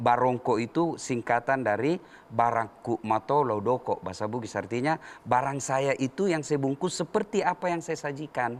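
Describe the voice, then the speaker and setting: The speaker has a Makassar accent and ordinary pitch variation. The pace is moderate. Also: man. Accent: Makassar (Ujung Pandang). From Makassar, South Sulawesi. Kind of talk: religious talk, explaining a dish.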